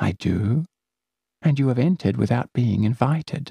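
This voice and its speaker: In a raspy, put-on character voice, a man talks at a moderate pace and a medium pitch. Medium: read story. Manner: soft, wheedling.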